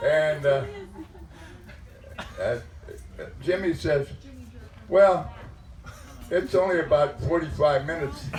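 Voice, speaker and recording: A man with a fairly high pitch speaks at a fairly slow pace with fairly even intonation and long, frequent pauses, amid noticeable background noise and audible room echo. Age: 80s+. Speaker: grandfather of the bride. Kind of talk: wedding speech. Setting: wedding reception. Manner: halting, repeating words.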